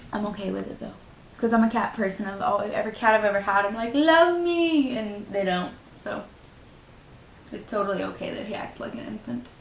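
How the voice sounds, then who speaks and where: Over noticeable background noise and audible room echo, a woman at medium pitch talks at a fairly quick pace, with big swings in loudness and very wide pitch swings. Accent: Southern US. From US South. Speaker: beauty YouTuber. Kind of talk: makeup tutorial; casual chat. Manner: casual, chatty.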